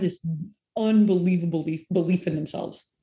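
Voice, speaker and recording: A woman speaks in a dark, mellow tone. Her voice is somewhat breathy, with ordinary pitch variation. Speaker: company president and co-founder. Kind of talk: interview. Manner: soft-spoken.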